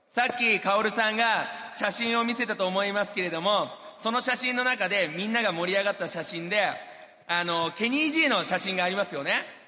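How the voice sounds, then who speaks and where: A man speaks in a raised, projected voice at a fairly quick pace, with a high pitch and ordinary pitch variation. Audible room echo and noticeable background noise fill the recording. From Japan. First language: Japanese (speaking Portuguese). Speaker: businessman. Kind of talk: motivational speech. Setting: stage with audience.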